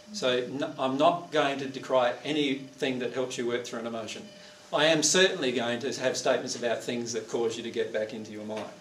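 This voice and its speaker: A man talks at a fairly quick pace. The room echo is audible, with light noise behind him. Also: ordinary pitch variation. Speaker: presenter. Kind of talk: lecture to audience. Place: hall. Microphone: camera far.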